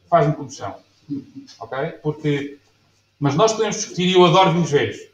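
A man talks at a fairly quick pace in a high voice with ordinary pitch variation. Room echo is audible. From Portugal. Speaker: winemaker; presenter. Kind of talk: lecture. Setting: stage with audience. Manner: halting. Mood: passionate, relaxed. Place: bar.

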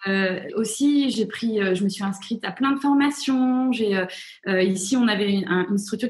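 A woman speaks at a fairly slow pace. Her fairly high voice shows ordinary pitch variation. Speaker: author and journalist. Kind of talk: interview. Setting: video call.

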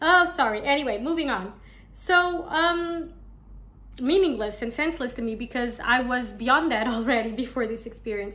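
A woman at a moderate pace, with lively intonation. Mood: earnest, slightly exasperated. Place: home room. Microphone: phone near.

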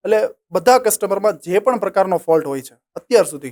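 The man's pitch is high, with ordinary pitch variation. His voice sounds dry and close with no echo. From Saurashtra, Gujarat, India. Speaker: solar business owner and engineer. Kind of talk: interview.

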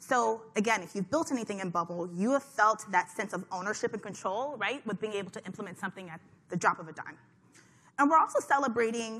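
The voice has a bright, sharp tone and moves at a very fast pace. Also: woman. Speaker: conference host. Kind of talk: conference talk. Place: hall. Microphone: headset.

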